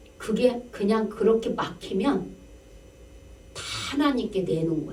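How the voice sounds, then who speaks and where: A woman's fairly high voice at a fairly slow pace, with ordinary pitch variation and audible room echo. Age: 60s. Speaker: pastor. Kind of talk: sermon. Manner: conversational, rhetorical questions.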